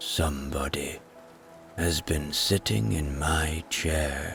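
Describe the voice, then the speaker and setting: A man puts on a gruff, raspy character voice and speaks at a very slow pace. Music plays clearly in the background. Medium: read story.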